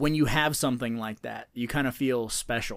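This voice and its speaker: This is a normal speaking voice, a man at a medium pitch with ordinary pitch variation and a moderate pace. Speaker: podcast host. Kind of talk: casual banter about a movie. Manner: casual, profane, joking.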